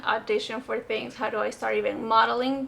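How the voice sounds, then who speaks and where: A woman speaks with a Spanish accent. Her fairly high voice stays flat and monotone. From Venezuela. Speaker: actress. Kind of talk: casual vlog talk answering comments.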